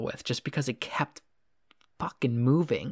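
A man speaks at medium pitch and a moderate pace in an unremarkable speaking voice. The sound is dry and close with no echo, and his pitch varies in an ordinary way. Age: 20s. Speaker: podcast host. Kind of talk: casual chat.

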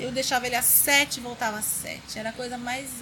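Over noticeable background noise, a woman projects her high voice in a raised way at a fairly quick pace. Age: 40s. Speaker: designer and blogger. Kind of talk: interview chat. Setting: in person.

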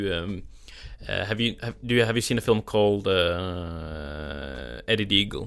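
A man talks fairly slowly at a fairly low pitch with a Norwegian accent. His intonation is lively. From Norway; southern Norway. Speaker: film podcast host. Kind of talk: casual film review chat. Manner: laughs often, rambling.

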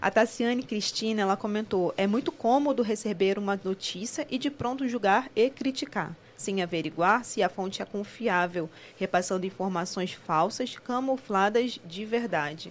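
With a Carioca accent, a woman speaks at a moderate pace with hardly any pauses, her pitch medium with ordinary pitch variation. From Rio de Janeiro. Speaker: co-host reading live comments. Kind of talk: casual chat.

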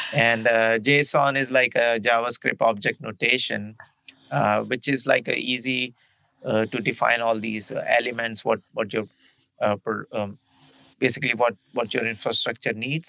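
A man with a bright, sharp tone and medium pitch speaks at a fairly slow pace. The sound is dry and close, with no echo. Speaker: podcast co-host, cloud computing. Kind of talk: casual explanatory podcast talk.

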